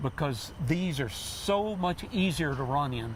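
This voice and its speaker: Audible room echo surrounds the voice. A man speaks with lively intonation. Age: 70s. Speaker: triathlete. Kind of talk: TV interview.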